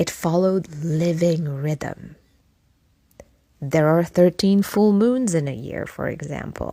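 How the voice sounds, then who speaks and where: Very slowly and with ordinary pitch variation, a woman with a non-native accent speaks in a very deep, low voice with a dark, mellow tone. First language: not English. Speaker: podcast host. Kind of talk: reflective podcast monologue.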